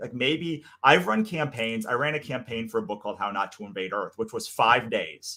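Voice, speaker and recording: A man speaks loudly at a moderate pace with hardly any pauses, his pitch swinging very widely and his voice showing vocal fry. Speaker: comics creator and podcast co-host. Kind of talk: casual chat. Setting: live stream.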